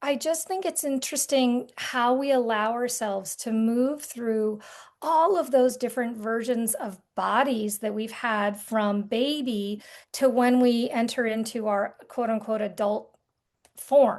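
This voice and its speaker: A plain, everyday voice comes from a woman speaking fairly slowly at a fairly high pitch with ordinary pitch variation, against a quiet background. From rural Vermont, US. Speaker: artist and art therapy guide. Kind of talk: podcast interview conversation.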